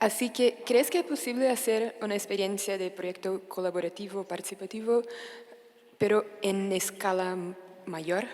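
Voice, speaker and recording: Against noticeable background noise, a woman with a Portuguese accent speaks at a fairly slow pace and medium pitch with fairly even intonation. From Brazil. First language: Portuguese (speaking Spanish). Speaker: audience member asking a question. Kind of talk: audience question. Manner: halting.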